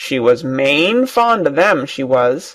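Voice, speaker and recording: A put-on character voice with a low-to-middle pitch. The pace is fairly slow. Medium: read story.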